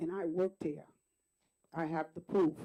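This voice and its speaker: At a moderate pace, a woman with an American accent speaks in a dark, mellow tone. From Wyandanch, Long Island, New York. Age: 60s. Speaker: retired school district employee, public commenter. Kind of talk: public comment at board meeting. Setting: school board meeting.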